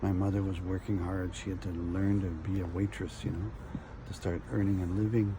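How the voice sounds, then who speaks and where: In a very deep, low pitch, a man talks at a fairly quick pace with audible room echo. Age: 60s. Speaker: video blogger. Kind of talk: personal storytelling. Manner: halting.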